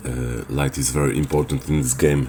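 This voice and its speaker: A man's very deep, low, monotone voice with a Polish accent, fairly slow, over noticeable background noise. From Poland. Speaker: gaming video creator. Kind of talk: tutorial. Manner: hesitant, many filler sounds.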